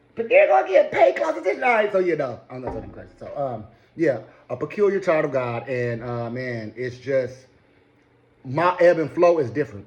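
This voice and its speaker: A man with an American accent talks in an animated tone with lively intonation and big swings in loudness. Noticeable background noise runs behind him. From Michigan. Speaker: radio host and vlogger. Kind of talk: casual vlog monologue. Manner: fast.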